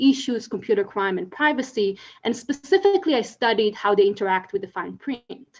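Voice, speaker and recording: Speaking at a fairly quick pace, a woman with an Israeli accent has a fairly high pitch. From Israel, Tel Aviv. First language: Hebrew. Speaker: legal scholar. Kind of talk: conference talk. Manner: hesitant, many fillers.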